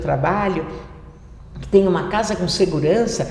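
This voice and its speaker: Noticeable background noise and audible room echo fill the recording. The woman speaks at a moderate pace. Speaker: financial education youtuber. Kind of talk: tutorial.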